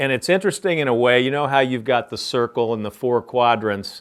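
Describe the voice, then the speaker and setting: Here is an ordinary speaking voice. It moves at a fairly quick pace. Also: man. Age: 60s. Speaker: business founder and CEO. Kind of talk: interview Q&A for a class.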